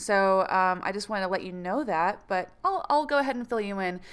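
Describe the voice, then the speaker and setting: On a very clean recording with a silent background, a woman speaks in an ordinary speaking voice. Her pitch is medium, her pace moderate, and her pitch variation ordinary. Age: 30s. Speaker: astrology podcast host. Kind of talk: casual monologue.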